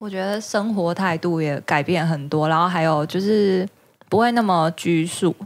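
A woman in a plain, everyday voice, fairly low in pitch, at a moderate pace with ordinary pitch variation. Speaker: returned language-school student from New York. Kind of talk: casual chat. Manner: laughs often.

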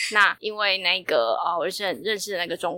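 An ordinary speaking voice at a fairly quick pace. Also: woman. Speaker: traveler. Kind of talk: casual interview.

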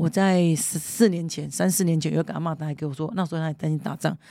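A woman's fairly low-pitched voice with a dark, mellow tone at a very fast pace, on a very clean recording with a silent background. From Kinmen, Taiwan. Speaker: legislator. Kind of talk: interview. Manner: animated.

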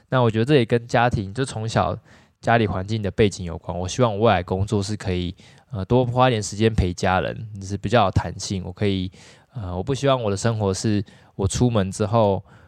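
A man's fairly low, fairly quick voice, a plain, everyday voice, with fairly even intonation over a quiet background. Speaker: dentist. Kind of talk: casual chat.

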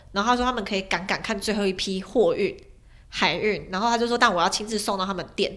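Very fast and animated, a woman's voice comes through. Her pitch is fairly high. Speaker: former overseas student, online editor and YouTuber. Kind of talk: casual chat. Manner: animated, talkative.

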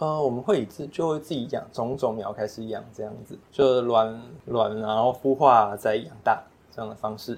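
Showing big swings in loudness, a man with a strong Taiwanese accent speaks at a medium pitch and a moderate pace with ordinary pitch variation. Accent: Taiwanese Mandarin, strong. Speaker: aquaculture shrimp farmer. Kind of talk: casual interview.

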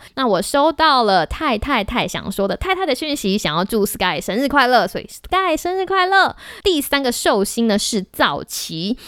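The speaker uses an animated tone with very wide pitch swings, moving at a moderate pace with hardly any pauses. The recording is very clean with a silent background. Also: woman, high pitch for a woman. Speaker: podcast host. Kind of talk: casual solo podcast talk.

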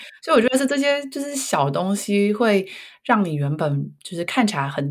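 Somewhat breathy, a woman's voice moves through very wide pitch swings. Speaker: career coach, parent. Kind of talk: casual chat.

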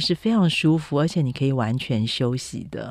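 At a fairly slow pace, a woman speaks in a very deep, low voice. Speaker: food and travel writer. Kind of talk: interview.

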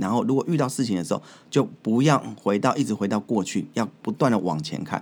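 This man talks at a fairly quick pace with lively intonation and medium pitch. The recording is very clean, with a silent background. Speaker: podcast host and corporate trainer. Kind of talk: solo podcast talk. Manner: animated.

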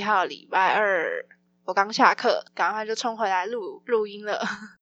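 Against a quiet background, a woman speaks in a plain, everyday voice at a fairly high pitch with ordinary pitch variation. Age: 20s. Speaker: podcast host and student. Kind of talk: casual solo podcast announcement.

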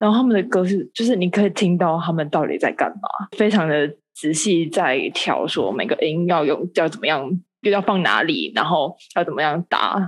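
A woman at a moderate pace with lively intonation. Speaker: medical student and amateur theatre actor. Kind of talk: casual chat. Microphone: poor internet connection.

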